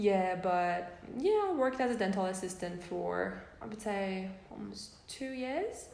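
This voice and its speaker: Amid noticeable background noise and audible room echo, a woman with a Persian accent speaks at a fairly slow pace with big swings in loudness. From Iran. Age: 20s. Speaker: student. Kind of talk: casual interview. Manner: hesitant, many fillers.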